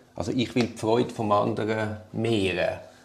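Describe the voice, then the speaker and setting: A man speaks at a moderate pace. He has a Swiss accent. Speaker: lawyer. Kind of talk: casual chat.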